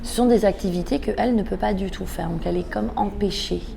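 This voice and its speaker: A woman speaks at medium pitch. Background noise is noticeable, and the room echo can be heard. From Iran, moved to France at age 6. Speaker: author. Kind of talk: interview. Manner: hesitant, many filler words.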